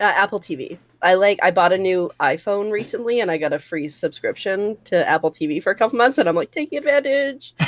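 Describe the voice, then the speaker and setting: Loud and very fast, a woman at medium pitch talks with hardly any pauses and very wide pitch swings. The sound is dry and close with no echo, the recording very clean over a silent background. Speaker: podcast co-host and streamer. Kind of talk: casual chat.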